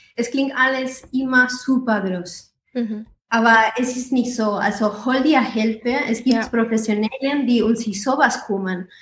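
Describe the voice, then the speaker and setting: Speaking slowly with a non-native accent, a woman keeps a fairly high pitch and fairly even intonation. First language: not German (speaking German). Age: 20s. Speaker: startup founder. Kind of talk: interview.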